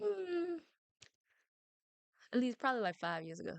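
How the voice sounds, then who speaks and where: A loud, animated voice at a moderate pace, dry and close with no echo. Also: woman. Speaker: streamer. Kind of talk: casual chat.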